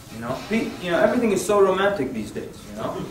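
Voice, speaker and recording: An animated man at a fairly quick pace, with audible room echo and noticeable background noise. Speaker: Islamic workshop instructor. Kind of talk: workshop lecture. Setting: room with live audience.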